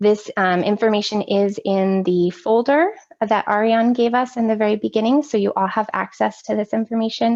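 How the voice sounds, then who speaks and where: A woman talks at a fairly high pitch with ordinary pitch variation. Her loudness stays very even throughout. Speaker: workshop presenter on social-emotional learning. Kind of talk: online training presentation. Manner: fast.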